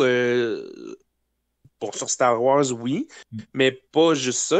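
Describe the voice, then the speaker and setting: Against a quiet background, a man talks with a Quebec accent. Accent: Québécois French. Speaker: guest on a podcast. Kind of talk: casual chat.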